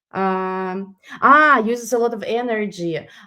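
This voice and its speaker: Speaking with a non-native accent, a woman has a medium pitch, a bright, sharp tone and lively intonation. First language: not English. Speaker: product presenter. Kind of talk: webinar product demo and Q&A. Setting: online webinar. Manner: halting, many fillers.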